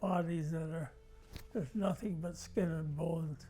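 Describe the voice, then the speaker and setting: A man talks at a fairly slow pace. Behind him, music plays. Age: 80s+. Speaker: war veteran. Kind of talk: interview answer.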